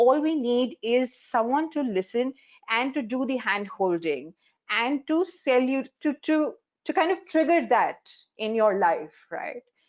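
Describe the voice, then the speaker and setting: A woman with an Indian accent speaks at a fairly slow pace. Her high voice moves in very wide pitch swings. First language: Hindi. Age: 40s. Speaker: life coach. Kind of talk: panel discussion.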